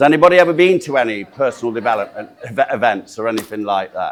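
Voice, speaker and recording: Very fast and with lively intonation, a man talks in a Yorkshire accent. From South Yorkshire, Doncaster. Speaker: motivational speaker and sales trainer. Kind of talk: training seminar talk. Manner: animated.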